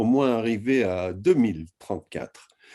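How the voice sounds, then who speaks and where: Very slowly and with very wide pitch swings, a man with an American accent speaks in a dark, mellow tone. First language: English (speaking French). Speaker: historian. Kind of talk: lecture. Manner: halting.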